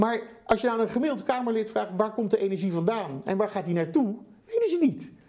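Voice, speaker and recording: Through noticeable background noise, a man talks very fast at a high pitch with lively intonation. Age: 50s. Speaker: sustainable entrepreneur. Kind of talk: interview.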